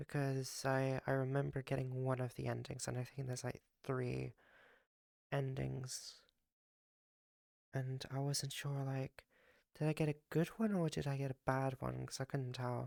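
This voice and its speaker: A woman with a very deep, low pitch and a dark, mellow tone speaks at a moderate pace with fairly even intonation and long, frequent pauses. The sound is dry and close with no echo, in a very clean recording with a silent background. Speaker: streamer. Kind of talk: casual chat.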